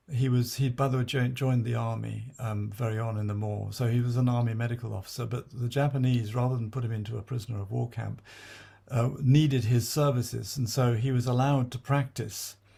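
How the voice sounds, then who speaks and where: Dark and mellow in tone, a man's somewhat breathy voice holds a monotone, flat intonation. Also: medium pitch for a man, fairly quick pace. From born in South China to British missionary parents. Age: 70s. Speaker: memoirist. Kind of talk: autobiographical talk with slides. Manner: halting, many fillers and restarts.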